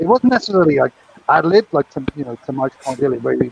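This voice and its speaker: The speaker is a man. He has a British accent. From Britain. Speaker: former craps dealer, co-host. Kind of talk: casual chat. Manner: animated.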